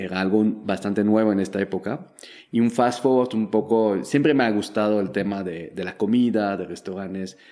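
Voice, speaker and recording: A man with a French accent and a fairly low voice at a moderate pace, with ordinary pitch variation, in a very clean recording with a silent background. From Belgium. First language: French (speaking Spanish). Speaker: startup founder and investor. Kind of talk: interview.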